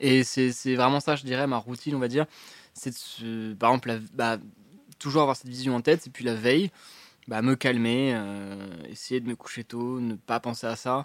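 An unremarkable speaking voice from a man at medium pitch, moderate pace and fairly even intonation, in a dry, close sound with no echo. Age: 20s. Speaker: urban climber. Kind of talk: casual interview. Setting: restaurant, live stream.

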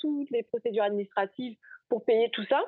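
This woman's voice sits fairly high and moves through an ordinary range of pitch. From Guadeloupe. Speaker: R&D innovation consultant. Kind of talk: interview. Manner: hesitant, many fillers.

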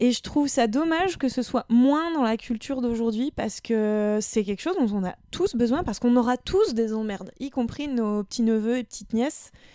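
Lively in intonation, a woman speaks at a high pitch. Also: moderate pace, hardly any pauses, very clean recording, silent background. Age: 30s. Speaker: podcast guest, practises historical martial arts. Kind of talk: casual chat.

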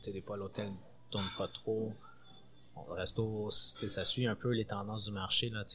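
Very slow speech over background music. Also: man. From Montreal, Quebec. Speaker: sous-chef. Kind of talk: interview. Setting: restaurant kitchen before service.

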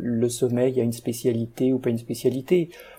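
The man's voice has a dark, mellow tone and sits at a medium pitch. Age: 50s. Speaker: guest sharing insomnia story. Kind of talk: interview. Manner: halting.

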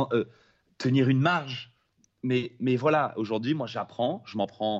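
An unremarkable speaking voice from a man, at medium pitch and a fairly quick pace, with ordinary pitch variation. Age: 30s. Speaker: film director, former pro snowboarder. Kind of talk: casual interview.

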